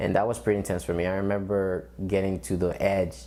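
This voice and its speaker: A man with a Spanish accent talks at a fairly quick pace, his very deep, low pitch carrying a dark, mellow tone and ordinary pitch variation. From Dominican Republic, then Bronx New York. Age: 20s. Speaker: military veteran and student. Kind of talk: interview testimony.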